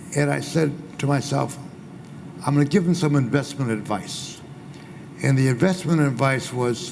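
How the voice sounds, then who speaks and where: Over noticeable background noise and audible room echo, a man with a fairly high pitch speaks at a moderate pace, leaving long, frequent pauses. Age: 80s+. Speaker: former agency president. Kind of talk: panel discussion. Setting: small room with audience.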